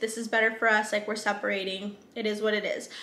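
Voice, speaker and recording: A woman talks at a fairly quick pace in a Southern California accent. Her pitch is fairly high. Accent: valley girl. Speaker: book reviewer. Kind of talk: casual talk to camera. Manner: casual, frequent filler words.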